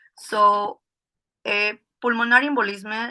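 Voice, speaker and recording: A woman with a Spanish accent speaks at a fairly high pitch with a bright, sharp tone and fairly even intonation. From Peru. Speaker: emergency physician. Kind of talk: lecture. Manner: halting.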